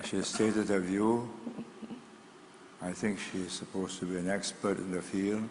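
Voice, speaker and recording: A man speaks at a moderate pace in a fairly low pitch, with long, frequent pauses. His intonation is monotone and flat, and there is noticeable background noise. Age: 80s+. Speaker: statesman. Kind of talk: forum Q&A answer. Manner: direct.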